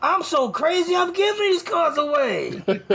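Someone puts on a character voice at an extremely high pitch, moving at a moderate pace. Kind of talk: salesy patter. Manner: pushy, overly enthusiastic.

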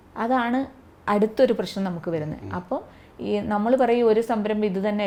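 The voice belongs to a woman with fairly high pitch. Her tone is dark and mellow. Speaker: jackfruit entrepreneur and trainer. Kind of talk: interview.

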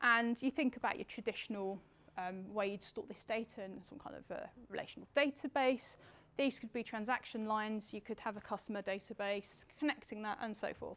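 Big swings in loudness mark a woman's fast-moving delivery at a fairly quick pace. Her pitch varies in an ordinary way. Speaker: conference presenter. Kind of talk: lecture. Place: hall.

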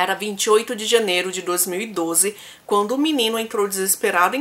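A woman's intonation sounds lively. She keeps a moderate pace. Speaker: true crime youtuber. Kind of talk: true crime storytelling vlog. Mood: serious, grave. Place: home room.

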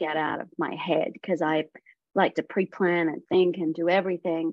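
Someone speaks with an Australian accent over a quiet background. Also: woman, dry sound with no echo. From Western Australia. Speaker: voice actor; guest actor. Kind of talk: casual interview. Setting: video call. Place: home room. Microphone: video call.

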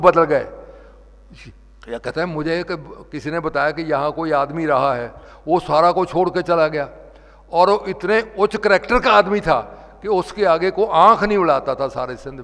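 Against a quiet background, a man with a high pitch talks at a fairly slow pace, with ordinary pitch variation and big swings in loudness. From Punjab (Montgomery, now Pakistan); Punjab. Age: 80s+. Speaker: religious speaker; speaker. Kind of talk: sermon. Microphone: podium.

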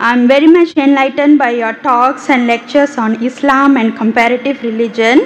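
Against noticeable background noise, a woman speaks high-pitched at a moderate pace with fairly even intonation. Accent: Indian. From India. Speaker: audience member asking a question. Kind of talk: question from audience. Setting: stage with audience. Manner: halting.

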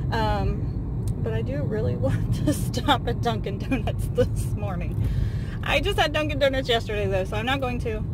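Loud background noise surrounds speech delivered at a moderate pace, the voice itself dry with no echo. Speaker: vlogger driving. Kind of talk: casual vlog chat. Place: car. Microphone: phone near.

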